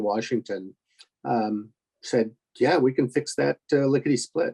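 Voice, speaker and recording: A man with a dark, mellow tone speaks at medium pitch with ordinary pitch variation, the sound dry and close with no echo. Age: 60s. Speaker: forum panelist with spinal cord injury. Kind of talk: online support forum discussion. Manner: halting, many fillers.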